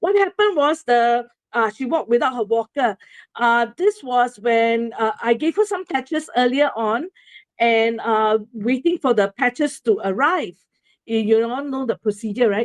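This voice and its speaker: With a Singaporean accent, a woman speaks at a moderate pace in a high voice with lively intonation, the sound dry and close with no echo against a quiet background. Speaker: presenter sharing a testimonial. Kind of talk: presentation to an audience. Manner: halting, many fillers.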